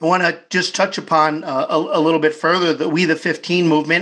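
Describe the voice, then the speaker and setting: Over a quiet background, a man talks with a fairly high voice. His intonation is flat and monotone. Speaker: podcast host. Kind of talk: interview.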